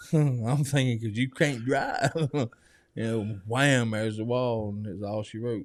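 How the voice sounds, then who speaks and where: With a Southern US accent, a man speaks at medium pitch and a fairly slow pace with fairly even intonation, on a very clean recording with a silent background. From US South, Georgia. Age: 40s. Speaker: recovery program resident. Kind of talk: testimony interview. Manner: casual.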